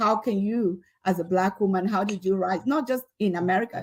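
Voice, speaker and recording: A woman with a Nigerian accent, medium pitch and ordinary pitch variation at a moderate pace, on a very clean recording with a silent background. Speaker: leadership expert and professor. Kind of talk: motivational talk to students.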